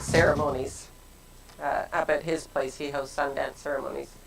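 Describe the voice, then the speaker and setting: A woman speaks at a fairly slow pace with ordinary pitch variation against noticeable background noise. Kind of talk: casual conversation. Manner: loud.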